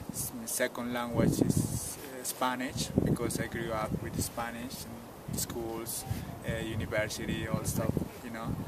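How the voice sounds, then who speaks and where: Amid noticeable background noise and audible room echo, a man of medium pitch speaks in a monotone, flat intonation. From Peru, Cusco highlands. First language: Quechua. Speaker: tour guide. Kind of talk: interview.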